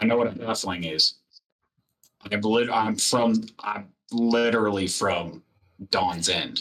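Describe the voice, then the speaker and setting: In a put-on character voice, a raspy man at medium pitch talks at a fairly slow pace with long, frequent pauses. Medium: actual play.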